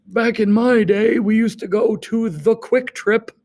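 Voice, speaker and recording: The speaker uses a put-on character voice at a moderate pace. The sound is dry and close, with no echo. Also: man, high pitch for a man. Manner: grumbling, nostalgic.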